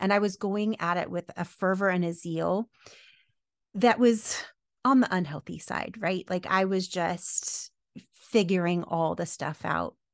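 A woman at medium pitch with ordinary pitch variation has a plain, everyday voice, recorded dry and close with no echo. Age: 40s. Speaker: podcaster and coach, former teacher. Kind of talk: interview conversation.

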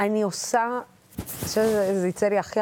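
A woman speaks at a moderate pace with a medium pitch. Background noise is noticeable. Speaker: TV interviewer. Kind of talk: interview.

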